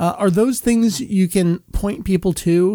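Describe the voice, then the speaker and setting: Recorded very cleanly against a silent background, with a dry, close sound and no echo, a man speaks at a fairly slow pace in a dark, mellow tone. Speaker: podcast host. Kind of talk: casual interview. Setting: in person with guest.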